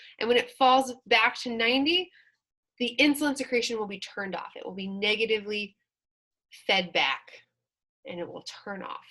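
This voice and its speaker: Bright and sharp in tone, a woman talks fairly quickly with lively intonation. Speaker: college instructor. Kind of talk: lecture. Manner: fast; animated.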